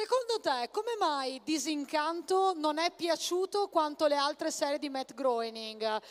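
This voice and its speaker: In a dry, close sound with no echo, a woman with a high pitch and animated tone makes very wide pitch swings at a fairly slow pace with hardly any pauses. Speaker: convention panel moderator. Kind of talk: live event hosting. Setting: stage with audience.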